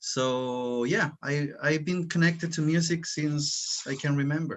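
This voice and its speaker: With a Spanish accent, a man speaks very slowly in a fairly high pitch with ordinary pitch variation. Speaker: musician, former English teacher. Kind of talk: casual Q&A panel chat. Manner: halting, repeats words.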